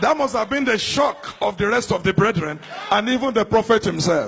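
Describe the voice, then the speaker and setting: A man speaks in a high pitch with very wide pitch swings, over noticeable background noise. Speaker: preacher. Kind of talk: sermon.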